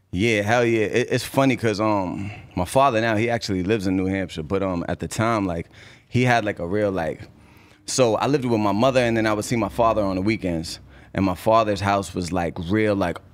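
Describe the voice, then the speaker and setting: In a very clean recording with a silent background, a man with a Boston accent speaks at a fairly low pitch with ordinary pitch variation. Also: fairly quick pace. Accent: Boston area. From Cambridge, Massachusetts. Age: 30s. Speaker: rapper. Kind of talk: casual interview.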